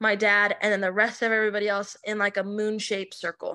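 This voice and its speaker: Over a quiet background, a woman uses a normal speaking voice at a fairly high pitch and a moderate pace. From Arizona, Chandler. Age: 20s. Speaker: podcast guest sharing life story. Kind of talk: interview testimony.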